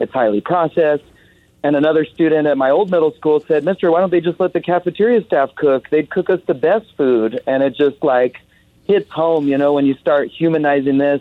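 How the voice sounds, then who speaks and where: In an unremarkable speaking voice, a man talks at a fairly quick pace with a fairly high pitch, ordinary pitch variation and very even loudness. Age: 30s. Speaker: middle school garden teacher. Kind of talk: radio call-in.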